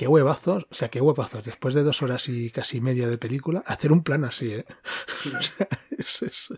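Speaking at a fairly quick pace, a somewhat breathy man uses a medium pitch with ordinary variation, heard in a dry, close sound with no echo. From Catalonia (Girona). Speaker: podcast co-host. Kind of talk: casual chat.

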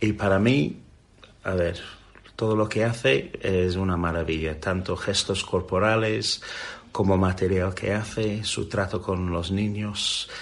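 A man with an English accent speaks very slowly, his very deep, low voice keeping fairly even intonation. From England. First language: English (speaking Spanish). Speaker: children's magician. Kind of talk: interview.

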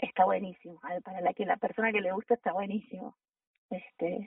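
The pace is moderate as a woman talks. Her intonation is fairly even. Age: 40s. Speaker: mountain guide and first aid instructor. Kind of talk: interview. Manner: halting.

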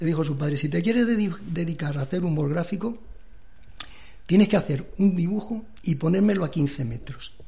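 A fairly quick man's voice, high in pitch with ordinary pitch variation, a dark, mellow tone and audible room echo. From Madrid, Spain. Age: 60s. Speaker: cartoonist and illustrator. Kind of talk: radio interview. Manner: halting, repeats words.

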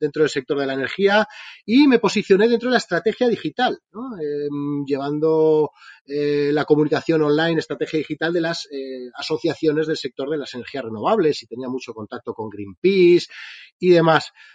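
A man speaks at a moderate pace in a plain, everyday voice, his pitch fairly high and his intonation lively. The loudness swings widely, and the sound is dry and close with no echo. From Spain. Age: 40s. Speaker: entrepreneur. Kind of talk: interview.

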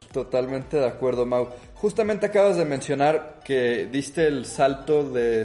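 There is noticeable background noise as a man speaks at a moderate pace. His pitch is medium. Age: 20s. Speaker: podcast host. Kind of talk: interview.

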